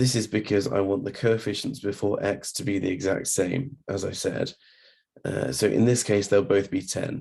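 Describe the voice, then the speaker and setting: In a very clean recording with a silent background, a man speaks at a moderate pace with a fairly low pitch. His voice is somewhat breathy and dark, mellow in tone, with ordinary pitch variation. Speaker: maths tutor. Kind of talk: maths tutorial narration. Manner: hesitant, casual.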